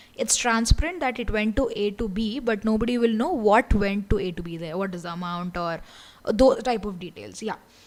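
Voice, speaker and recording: A woman talks fairly quickly at a fairly high pitch, with ordinary pitch variation and big swings in loudness. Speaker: online course instructor. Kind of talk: lecture. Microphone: audibility problems.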